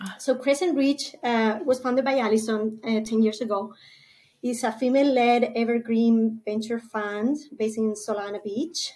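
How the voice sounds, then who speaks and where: A woman speaks in a dark, mellow tone at a fairly high pitch. Her intonation stays fairly even. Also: moderate pace. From Spain. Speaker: venture capital partner. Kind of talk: interview.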